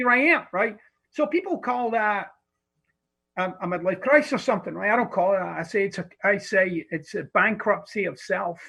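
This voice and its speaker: A man with a high pitch talks at a moderate pace. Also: lively intonation. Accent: Scottish. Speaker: personal development author. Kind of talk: podcast interview answer. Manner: blunt, profane.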